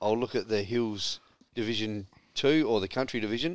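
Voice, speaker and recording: A man is talking. His accent is Australian. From South Australia. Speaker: sports radio co-host. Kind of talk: casual chat. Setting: studio.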